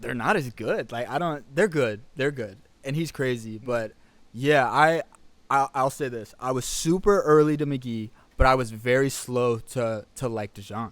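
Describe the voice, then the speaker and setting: This man has an unremarkable speaking voice at a medium pitch with ordinary pitch variation. He talks at a fairly slow pace on a very clean recording with a silent background. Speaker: musician. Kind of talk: casual interview.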